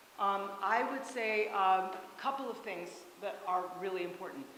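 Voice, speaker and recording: Noticeable background noise and audible room echo surround the recording. A woman talks at medium pitch with ordinary pitch variation. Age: 60s. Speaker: choir workshop leader and voice teacher. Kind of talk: workshop talk with questions. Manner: loud; halting, with many fillers.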